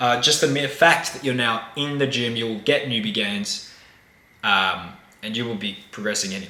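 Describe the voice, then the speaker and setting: Noticeable background noise and audible room echo both accompany a man as he talks. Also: medium pitch for a man, ordinary pitch variation, moderate pace. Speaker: dating coach. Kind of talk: tutorial.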